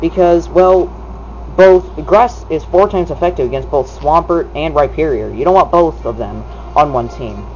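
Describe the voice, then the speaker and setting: A man talking at a moderate pace over noticeable background noise. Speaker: gaming video commentator. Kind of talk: gameplay commentary. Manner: loud. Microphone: camera's built-in mic, not a proper microphone.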